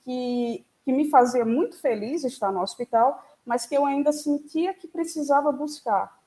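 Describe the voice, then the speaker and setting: A woman takes a fairly slow pace, her pitch showing ordinary variation. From Brazil, Sergipe (Itabaiana). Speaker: physicist, researcher. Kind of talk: lecture.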